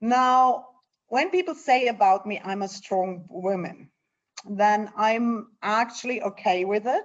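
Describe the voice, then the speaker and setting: Speaking at a very slow pace in a German accent, a woman with a fairly high pitch shows ordinary pitch variation. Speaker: NGO leader. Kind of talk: interview.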